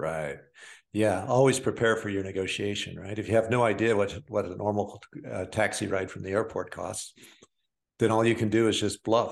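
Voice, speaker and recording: In an unremarkable speaking voice, a man talks with an American accent at a moderate pace. His pitch is fairly low and his intonation fairly even, with a quiet background. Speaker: podcast co-host. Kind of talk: casual podcast conversation.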